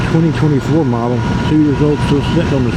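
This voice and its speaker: A man's medium-pitched voice with fairly even intonation, amid noticeable background noise. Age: old. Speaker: motorcyclist; military veteran. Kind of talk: casual talk to camera. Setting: outdoors, on a motorcycle.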